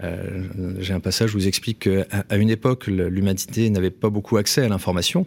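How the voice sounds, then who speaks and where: A man speaks with a very deep, low pitch and fairly even intonation. The recording is very clean with a silent background and a dry, close sound with no echo. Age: 40s. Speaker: real estate executive and essayist. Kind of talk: interview. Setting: studio.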